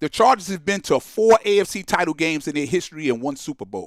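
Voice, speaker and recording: Recorded dry and close with no echo, a man with a normal speaking voice talks at a fairly quick pace with lively intonation. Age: 60s. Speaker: sports talk show host. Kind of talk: call-in show monologue. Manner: casual, conversational.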